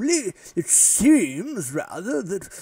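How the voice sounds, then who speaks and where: A man performs a put-on character voice, pitched high and swinging very widely up and down. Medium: actual play. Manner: rambling, old-fashioned politeness.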